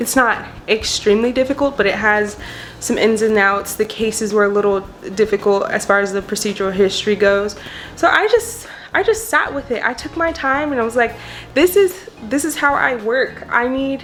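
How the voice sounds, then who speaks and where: Noticeable background noise runs under this recording. A woman speaks at a fairly high pitch with lively intonation. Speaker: law student vlogger. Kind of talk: casual vlog. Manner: fast.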